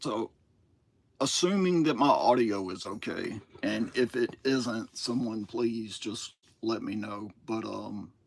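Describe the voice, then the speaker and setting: A man with a Southern US accent at a medium pitch, very slow, with ordinary pitch variation. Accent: Southern US twang. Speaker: toy collector streamer. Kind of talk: live stream monologue. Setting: solo live stream. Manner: casual, hesitant with fillers.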